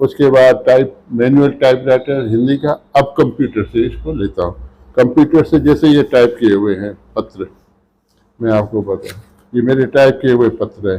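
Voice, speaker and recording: A man's voice of medium pitch with a dark, mellow tone. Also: ordinary pitch variation. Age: 70s. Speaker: retired social worker. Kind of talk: interview.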